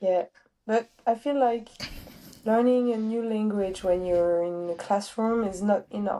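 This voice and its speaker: The voice carries a French accent and a dark, mellow tone, moving at a fairly slow pace with fairly even intonation. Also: woman, fairly high pitch for a woman. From France. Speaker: streetlifting athlete and coach. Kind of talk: casual interview chat.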